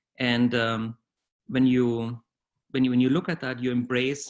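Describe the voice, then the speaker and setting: A man with a German accent, medium pitch, monotone, flat intonation and a fairly slow pace, on a very clean recording with a silent background. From Bavaria, southern Germany. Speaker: corporate HR executive. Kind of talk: interview, conversational. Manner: hesitant, with fillers and repetitions.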